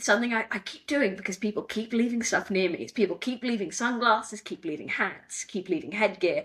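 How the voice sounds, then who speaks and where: At a fairly quick pace, a woman talks with an English accent. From England. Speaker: wrestling ring announcer. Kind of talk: interview. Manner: conversational, many fillers.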